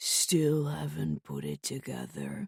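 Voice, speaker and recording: A put-on character voice from a man, very deep and low in pitch, fairly slow, with a dry, close sound and no echo. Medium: read story. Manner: spiteful, menacing.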